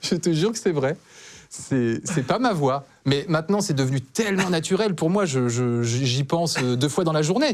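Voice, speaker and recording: A man's fairly high voice at a moderate pace, lively intonation and very even loudness, on a very clean recording with a silent background. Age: 40s. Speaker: talk show guest. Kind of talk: testimony. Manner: halting.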